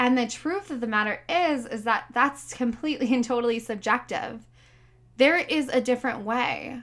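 Loud and animated, a woman talks at a moderate pace in a high pitch with ordinary pitch variation. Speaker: podcast host and life coach. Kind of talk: solo motivational podcast monologue; sponsor pitch.

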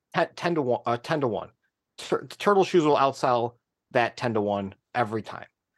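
An animated man at a medium pitch and moderate pace, with lively intonation, a dry, close sound with no echo, and a quiet background. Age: 30s. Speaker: sneaker company accounts manager and designer. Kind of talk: casual interview.

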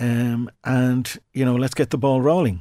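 Speaking at a moderate pace in an Irish accent, a man with a medium pitch and a dark, mellow tone is captured in a very clean recording with a silent background. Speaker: radio presenter and stroke survivor. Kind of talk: interview telling personal story. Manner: halting.

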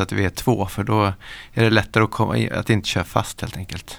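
Vocal fry runs through a man's fairly low voice as he speaks at a fairly quick pace with fairly even intonation. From Stockholm area, Sweden. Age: 40s. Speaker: pro skier and entrepreneur. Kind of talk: casual interview. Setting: studio.

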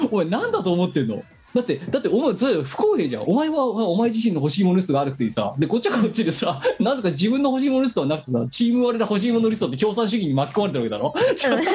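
Amid noticeable background noise, a man with a high pitch talks at a very fast pace in an animated tone, his pitch swinging very widely. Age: 40s. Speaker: web radio co-host. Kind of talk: casual chat. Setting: remote recording.

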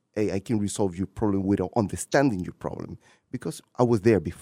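Dark and mellow, a man's fairly low voice with a Spanish accent and ordinary pitch variation comes through a very clean, dry, close recording with a silent background and no echo. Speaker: city council president and candidate. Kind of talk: interview. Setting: radio studio.

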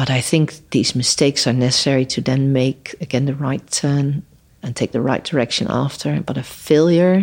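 Someone speaks at a moderate pace with a Dutch accent. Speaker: human rights lawyer. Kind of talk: interview conversation. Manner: halting.

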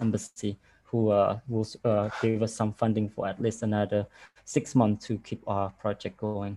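A man's dark, mellow voice with a Cambodian accent. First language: Khmer. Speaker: arts program director. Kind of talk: online panel discussion. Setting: video call. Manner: halting.

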